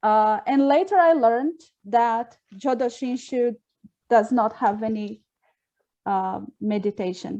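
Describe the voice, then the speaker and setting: In a Portuguese accent, the speaker talks at a very slow pace with long, frequent pauses, a dark, mellow tone and ordinary pitch variation. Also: woman, fairly high pitch for a woman. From Brazil. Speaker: Buddhist minister trainee. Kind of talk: online dialogue introduction.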